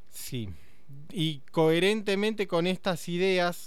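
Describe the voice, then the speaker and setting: In a Rioplatense accent, a man with a high pitch speaks with lively intonation. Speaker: radio host. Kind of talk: casual radio conversation.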